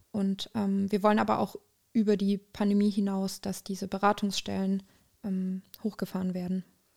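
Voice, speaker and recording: A woman speaks in a medium pitch, somewhat breathy, at a moderate pace. Her intonation is flat and monotone, and the sound is dry and close with no echo. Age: 20s. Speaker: student activist. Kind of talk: interview.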